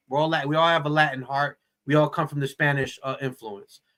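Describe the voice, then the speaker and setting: A man with a New Jersey accent talks very fast in a fairly high pitch and a bright, sharp tone. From New Jersey, Perth Amboy. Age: 40s. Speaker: actor. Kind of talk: casual chat. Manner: animated.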